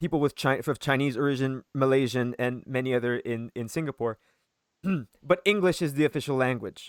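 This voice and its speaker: Fairly quick speech with a Quebec accent, on a very clean recording with a silent background. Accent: Quebecois French. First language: French. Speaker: podcast host. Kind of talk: casual chat.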